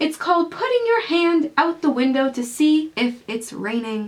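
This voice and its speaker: This woman uses a put-on character voice at a high pitch. She keeps a moderate pace. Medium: read story.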